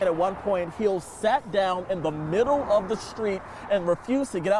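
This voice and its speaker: A man's high-pitched voice shifts in pitch in an ordinary way as noticeable noise fills the background. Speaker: TV news reporter and anchor. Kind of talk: TV news reporting.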